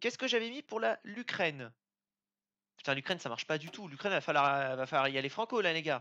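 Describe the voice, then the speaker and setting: The speech comes at a very fast pace but breaks up with long, frequent pauses. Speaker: gaming video creator. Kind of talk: let's play commentary. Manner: animated.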